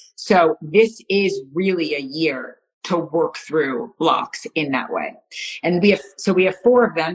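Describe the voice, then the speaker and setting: A woman with an American accent, a plain, everyday voice, fairly low pitch, lively intonation and a fairly slow pace. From United States. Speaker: astrologer. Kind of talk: casual chat. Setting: live video stream.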